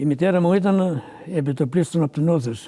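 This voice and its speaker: Dark, mellow tone from a man at a moderate pace. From Greece, Sarakatsani nomadic herders. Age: 80s+. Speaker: retired shepherd. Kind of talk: oral history interview answer.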